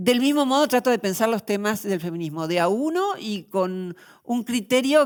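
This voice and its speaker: A woman speaks at a moderate pace in an ordinary speaking voice, with lively intonation. The recording is very clean, with a silent background. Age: 60s. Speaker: philosopher. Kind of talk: interview.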